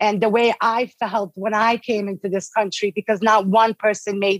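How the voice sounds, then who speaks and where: A woman with a Bosnian accent at medium pitch and a moderate pace, in a dry, close sound with no echo. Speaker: guest, Bosnian immigrant. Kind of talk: interview conversation. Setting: video call.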